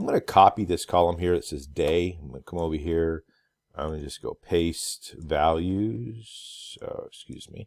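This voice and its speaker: The background is silent on a very clean recording. A man is the one talking. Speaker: instructor. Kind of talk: tutorial. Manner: hesitant, many fillers.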